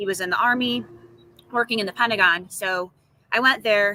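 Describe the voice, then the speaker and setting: A woman's medium-pitched voice with an American accent, fairly even intonation and a fairly quick pace. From upstate New York, Syracuse. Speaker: real estate agent. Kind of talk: interview. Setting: outdoors on video call.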